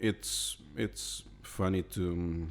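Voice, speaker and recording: A man with a very deep, low voice is heard on a very clean recording with a silent background. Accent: non-native. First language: not English. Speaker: illustrator. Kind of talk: casual narration. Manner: halting, repeats words.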